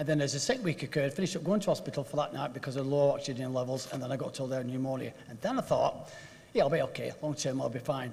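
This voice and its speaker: The speaker talks at a very fast pace with ordinary pitch variation, and audible room echo is present. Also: man, fairly high pitch for a man. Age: 60s. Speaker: local councillor. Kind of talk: council meeting speech. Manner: animated.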